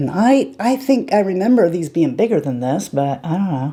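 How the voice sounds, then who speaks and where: Using very wide pitch swings, a woman talks at a moderate pace in a dark, mellow tone. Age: 50s. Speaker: beauty vlogger. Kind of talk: tutorial. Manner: casual, chatty.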